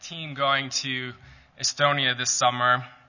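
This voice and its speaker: A man speaks with a fairly high pitch. His pace is fairly slow. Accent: American. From Calgary, Canada. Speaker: ministry staff member giving a talk. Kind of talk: church talk. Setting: church.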